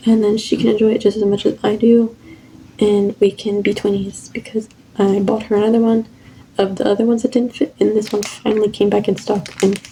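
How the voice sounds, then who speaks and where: Soft-spoken and fairly high-pitched, a woman talks at a moderate pace with monotone, flat intonation and long, frequent pauses, against noticeable background noise. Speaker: lifestyle vlogger. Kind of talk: casual haul video. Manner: rambling, filler-heavy.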